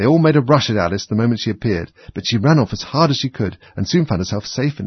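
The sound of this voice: Lively intonation in an unforced reading voice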